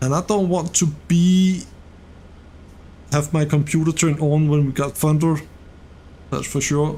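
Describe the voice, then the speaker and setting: With a dark, mellow and relaxed tone, a man of fairly high pitch speaks at a moderate pace in a monotone, flat intonation, very even loudness and long, frequent pauses. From Denmark. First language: Danish. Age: 40s. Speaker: gaming streamer. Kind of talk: casual live stream chat. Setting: live stream. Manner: relaxed, conversational.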